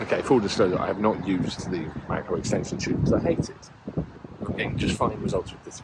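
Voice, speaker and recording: A man talks very fast at a fairly low pitch, with lively intonation and big swings in loudness. Noticeable background noise runs underneath. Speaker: photography vlogger. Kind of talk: vlog to camera. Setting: outdoors in a garden.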